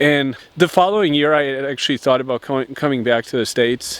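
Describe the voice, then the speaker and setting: A man with a Midwestern US accent speaks at a medium pitch. His intonation is fairly even. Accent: General American, Midwestern. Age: 20s. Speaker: lifestyle YouTuber. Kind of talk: vlog monologue. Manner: halting, many repetitions and fillers.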